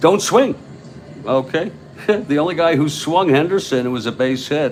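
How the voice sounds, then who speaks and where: Lively intonation from a man over noticeable background noise. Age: 60s. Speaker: tabletop baseball game commentator. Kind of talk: simulated live play-by-play commentary. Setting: home studio. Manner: slow, relaxed pace.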